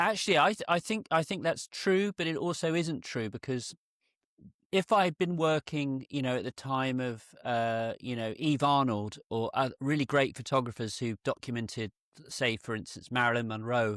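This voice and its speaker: A man with a British accent at medium pitch, lively intonation and a moderate pace, in a dry, close, very clean recording with no echo and a silent background. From UK, rural area. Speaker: portrait photographer. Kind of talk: in-depth interview.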